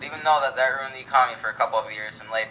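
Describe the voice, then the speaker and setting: Over noticeable background noise, a man talks at a very fast pace. His pitch is medium. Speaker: co-host of a school history project radio broadcast. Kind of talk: mock 1920s radio broadcast, scripted co-host talk.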